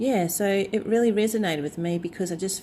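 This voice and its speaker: Speaking at a moderate pace, a woman talks with a New Zealand accent. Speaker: tarot YouTuber. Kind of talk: casual vlog chat. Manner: hesitant, many fillers.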